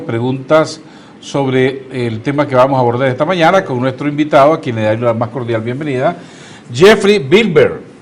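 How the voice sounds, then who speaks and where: Through noticeable background noise, the speaker talks at a fairly quick pace with lively intonation. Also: man. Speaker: TV host. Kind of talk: TV interview.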